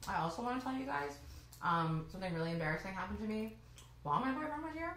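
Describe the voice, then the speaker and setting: Amid audible room echo, a woman speaks at a very fast pace with very wide pitch swings. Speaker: podcast co-host. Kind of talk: casual chat. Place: home room.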